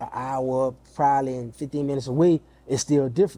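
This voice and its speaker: A fairly high-pitched man with a New Orleans accent, dark, mellow in tone, at a moderate pace. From New Orleans, Louisiana. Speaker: music artist manager. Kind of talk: interview.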